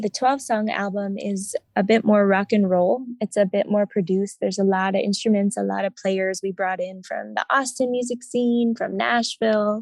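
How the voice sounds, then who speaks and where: A woman with medium pitch and ordinary pitch variation at a moderate pace, hardly any pauses, a dry, close sound with no echo, and a quiet background. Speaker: singer-songwriter. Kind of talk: interview. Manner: calm, low-key.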